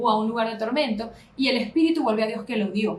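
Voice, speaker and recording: Her intonation lively, a woman talks in a fairly high pitch. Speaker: pastor. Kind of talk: Bible study lecture. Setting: live stream on social media. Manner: fast.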